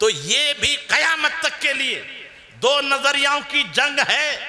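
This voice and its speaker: Over noticeable background noise, a man's voice comes through raised and projected. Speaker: Islamic cleric. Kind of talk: religious sermon.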